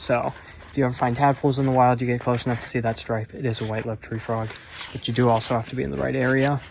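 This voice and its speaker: Over noticeable background noise, a man with an American accent talks at a very fast pace. His pitch is medium and his intonation monotone and flat. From United States. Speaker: nature vlogger. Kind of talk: casual educational vlog. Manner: casual, with frequent fillers.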